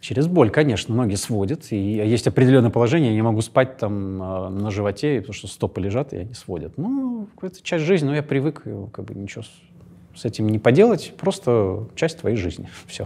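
A man speaks in a dark, mellow tone with lively intonation. His pace is fairly quick. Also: big swings in loudness. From Russia, St. Petersburg. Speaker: actor. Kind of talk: interview. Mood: calm, reflective. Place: studio. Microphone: lapel.

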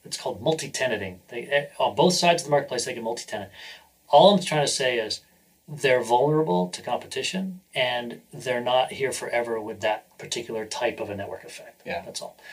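Speaking at a fairly quick pace with an American accent, a man uses a medium pitch, lively intonation, big swings in loudness and a somewhat breathy sound. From New Hampshire, US. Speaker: venture capitalist and entrepreneur. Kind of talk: interview.

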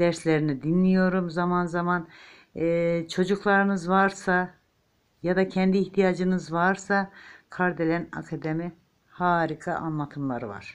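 A woman uses a plain, everyday voice at a fairly slow pace with fairly even intonation. The background is quiet. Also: fairly low pitch for a woman. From eastern Turkey, Ağrı. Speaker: home crafter, knitting tutorial maker. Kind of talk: tutorial with chatty asides. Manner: chatty, warm, informal.

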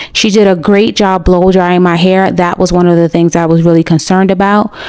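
Fairly even in intonation, a woman speaks with an American accent against noticeable background noise. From United States. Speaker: vlogger. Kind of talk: vlog narration.

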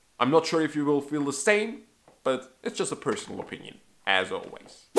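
He is a man with a non-native accent. His voice sits at a fairly high pitch. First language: not English. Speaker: magic trick reviewer. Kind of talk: product review. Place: home room.

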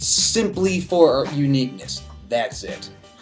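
A man speaks while faint music plays in the background. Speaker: beer reviewer. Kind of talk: casual review vlog chat. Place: home room.

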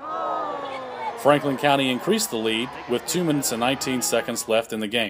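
Crowd noise fills the background. The speaker keeps a moderate pace. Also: man. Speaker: sports highlights host. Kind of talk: sports highlight narration, recapping the game play by play. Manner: steady, upbeat, formal broadcast delivery; brisk and clear, reading a prepared script.

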